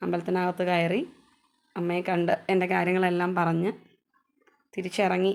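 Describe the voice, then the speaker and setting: A woman speaks at medium pitch. Her intonation is monotone and flat. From Kerala, Kothamangalam (Nellikuzhi). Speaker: vlogger. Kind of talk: vlog narration.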